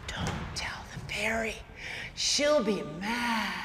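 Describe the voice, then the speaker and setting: In a put-on character voice, a female-sounding speaker whispers at a very slow pace against clear background noise. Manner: whispering.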